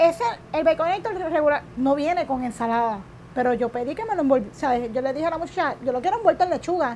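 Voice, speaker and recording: A woman talks at a very fast pace, her pitch high. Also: lively intonation. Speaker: keto diet cook and influencer. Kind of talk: interview.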